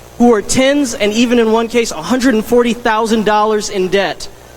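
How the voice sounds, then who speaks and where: High pitch from a man at a fairly quick pace, ordinary pitch variation, noticeable background noise behind him. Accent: American. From US South. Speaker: teacher, delegate candidate. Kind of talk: convention speech.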